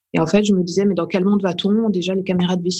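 Her pitch is medium and her pace fairly quick. This woman sounds somewhat breathy. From France, Burgundy (Dijon). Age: 30s. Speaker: playwright and actress. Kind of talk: interview. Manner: hesitant, with frequent repetitions.

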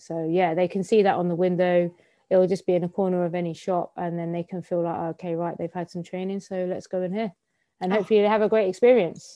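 Her intonation monotone and flat, a woman speaks at a very fast pace. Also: medium pitch for a woman. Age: 30s. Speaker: barber and campaigner. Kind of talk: casual radio interview.

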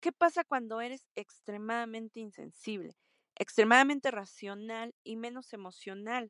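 A woman speaks at a fairly slow pace with ordinary pitch variation, in a plain, everyday voice. The sound is dry and close, with no echo. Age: 30s. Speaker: listener sending a voice question. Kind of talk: recorded voice message.

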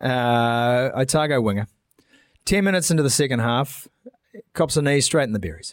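Animated tone and lively intonation in a New Zealand accent, at a moderate pace. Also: man. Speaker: rugby podcast host. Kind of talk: casual sports chat.

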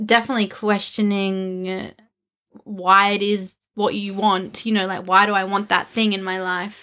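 The speaker has an Australian accent and a bright, sharp tone. Delivery is monotone and flat at a moderate pace. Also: woman, medium pitch for a woman. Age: 30s. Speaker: podcast co-host, wellness business owner. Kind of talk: casual chat.

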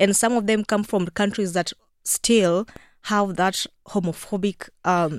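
A woman with a Kenyan accent and a medium pitch speaks at a fairly slow pace with fairly even intonation. The very clean recording is dry and close with no echo and a silent background. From rural Kenya. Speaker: LGBTQ advocate and journalist. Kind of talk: radio interview. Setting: radio studio.

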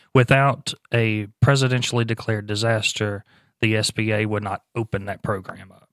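A man's fairly low voice with an American accent, a plain, everyday voice at a moderate pace and fairly even intonation, dry and close with no echo in a very clean recording with a silent background. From US Gulf Coast, New Orleans area. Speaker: emergency agency spokesperson. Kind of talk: casual interview. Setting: studio.

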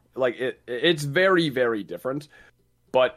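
On a very clean recording with a silent background, a man has a plain, everyday voice at a medium pitch with lively intonation. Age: 20s. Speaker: gaming content creator. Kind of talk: casual chat.

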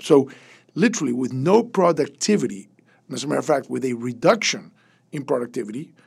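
The voice has vocal fry and lively intonation, moving at a moderate pace. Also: man. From Venezuela. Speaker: business consultant, former oil company board member. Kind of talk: roundtable discussion.

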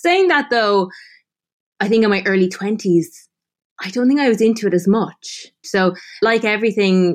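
Moderately paced speech from a woman, her pitch varying in an ordinary way. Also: quiet background. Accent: Irish. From Ireland, Tipperary. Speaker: food writer and former model. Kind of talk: interview.

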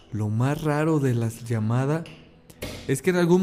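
The man keeps a moderate pace and ordinary pitch variation while noticeable background noise plays on. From Mexico. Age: 20s. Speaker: podcast host. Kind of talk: casual chat.

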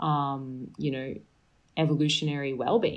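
In an Australian accent, a woman speaks with a very deep, low pitch. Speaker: sleep and health expert. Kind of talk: casual interview chat.

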